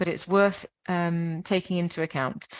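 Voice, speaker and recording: A woman with a British accent is heard dry and close with no echo, over a quiet background. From Britain. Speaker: webinar presenter for science and technology parks network. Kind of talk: webinar presentation. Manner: halting, with fillers.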